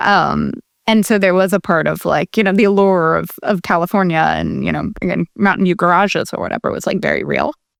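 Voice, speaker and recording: The sound is dry and close with no echo. A woman talks at a fairly quick pace. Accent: American. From US Midwest (Columbus, Ohio). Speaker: tech company CEO and co-founder. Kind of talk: interview.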